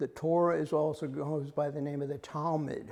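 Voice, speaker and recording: At a moderate pace, the voice delivers a dark, mellow tone in a monotone, flat intonation. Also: man. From US South. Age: 80s+. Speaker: lay Bible study leader. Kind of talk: lecture. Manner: halting.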